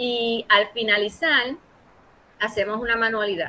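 Her pitch medium, a woman talks at a fairly slow pace. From Puerto Rico, Ponce. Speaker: librarian. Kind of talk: interview. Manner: halting, many repetitions.

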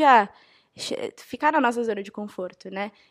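Her voice is an unremarkable speaking voice, fairly high in pitch. The woman talks at a moderate pace with lively intonation. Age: 20s. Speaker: university student. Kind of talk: panel discussion.

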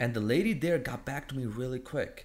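Lively intonation marks this man's unremarkable speaking voice, delivered at a moderate pace. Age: 20s. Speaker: fitness coach and entrepreneur. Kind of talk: casual chat.

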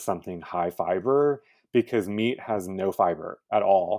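This man has a normal speaking voice with fairly low pitch and ordinary pitch variation. He talks at a fairly slow pace. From Texas, Houston. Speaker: cooking show host. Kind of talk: interview.

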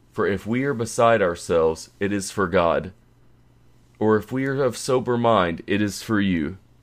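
A man talks at a fairly low pitch with ordinary pitch variation. He has an unremarkable speaking voice, and the background is quiet. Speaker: scripture reader. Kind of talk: scripture reading. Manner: slow, measured, reverent; formal, solemn.

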